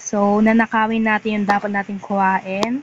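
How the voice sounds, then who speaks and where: A soft-spoken woman with a fairly high pitch speaks at a fairly slow pace. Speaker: gaming vlogger. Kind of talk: gameplay commentary.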